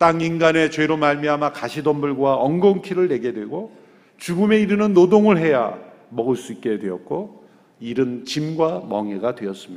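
With audible room echo, a man speaks at a moderate pace and a fairly high pitch, his pitch swinging very widely. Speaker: pastor. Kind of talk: sermon.

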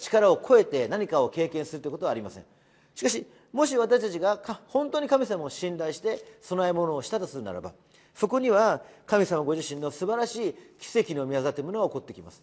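A man's high-pitched voice at a fairly quick pace, with very wide pitch swings and big swings in loudness. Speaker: pastor. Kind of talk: devotional sermon.

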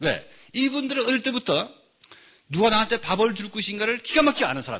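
A man speaks in a raised, projected voice at an extremely high pitch, his bright, sharp tone animated and his intonation lively as he talks at a very fast pace. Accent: North Korean. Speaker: pastor and lecturer on North Korea mission. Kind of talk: lecture.

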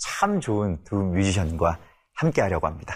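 A man at a moderate pace, with very wide pitch swings, on a very clean recording with a silent background. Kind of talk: casual interview. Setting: studio.

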